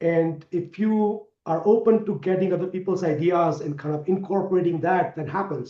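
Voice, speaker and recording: With a non-native accent, a man talks at a moderate pace and high pitch, his intonation fairly even and hardly any pauses breaking his speech. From India. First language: not English. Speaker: sales executive. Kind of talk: interview.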